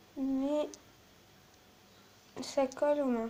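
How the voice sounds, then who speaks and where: A woman's high-pitched voice at a very slow pace. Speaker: slime video maker. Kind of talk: tutorial. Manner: soft-spoken.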